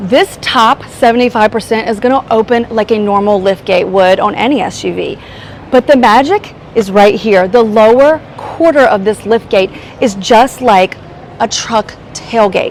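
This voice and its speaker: Over noticeable background noise, a woman speaks in an animated tone at a fairly slow pace, her fairly high voice showing ordinary pitch variation. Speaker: car reviewer. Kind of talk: product walkaround tutorial.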